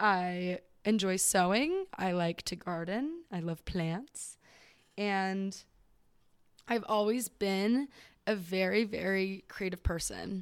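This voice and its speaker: A woman with an American accent speaks at a very slow pace, with long, frequent pauses. Her pitch is medium with ordinary variation, and the recording is very clean with a silent background. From Southern California. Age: 20s. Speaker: podcast host. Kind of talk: casual solo monologue. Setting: home recording at microphone.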